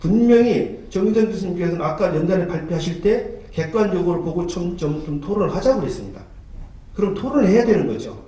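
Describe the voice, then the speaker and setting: A man talks at a fairly quick pace in a high pitch with lively intonation. Noticeable background noise can be heard. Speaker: history researcher, debate panelist. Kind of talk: heated debate. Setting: conference hall panel. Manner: fast.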